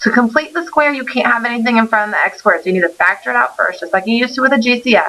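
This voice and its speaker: A woman's fairly high voice at a very fast pace, lively intonation, noticeable background noise. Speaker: math teacher. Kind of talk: recorded lesson. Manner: stumbling over words.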